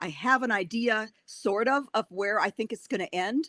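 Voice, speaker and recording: Speaking with a Wisconsin accent, a woman has a medium pitch and a bright, sharp tone. Her pitch varies in an ordinary way, and the sound is dry and close with no echo. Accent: Wisconsin accent, still present. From Wisconsin, Racine. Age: 60s. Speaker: author. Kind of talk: interview. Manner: animated.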